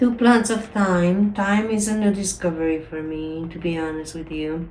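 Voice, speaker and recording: At a moderate pace, a woman with a Spanish accent and fairly low pitch speaks with big swings in loudness, amid noticeable background noise and audible room echo. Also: ordinary pitch variation. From Mexico. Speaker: home gardening vlogger. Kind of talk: casual vlog tutorial.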